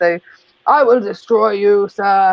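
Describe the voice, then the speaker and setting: A booming, female-sounding put-on character voice at medium pitch. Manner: booming, announcer-like.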